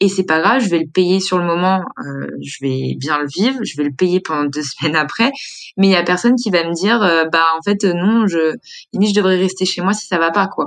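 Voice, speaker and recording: Fairly quick female speech at a medium pitch, with ordinary pitch variation. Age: 20s. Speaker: media co-founder living with multiple sclerosis. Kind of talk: personal testimony. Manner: hesitant, many fillers.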